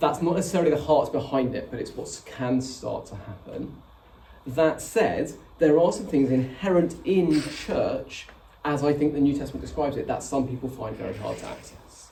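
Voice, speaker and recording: A man's fairly high voice at a moderate pace, with ordinary pitch variation, big swings in loudness and audible room echo. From England, Oxford. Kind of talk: talk Q&A. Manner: slightly slurred.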